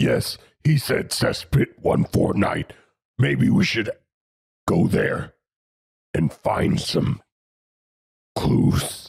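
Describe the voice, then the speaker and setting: A raspy, put-on character voice in a deadpan tone, very slow, with long, frequent pauses. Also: man, medium pitch for a man. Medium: actual play. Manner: terse, deadpan.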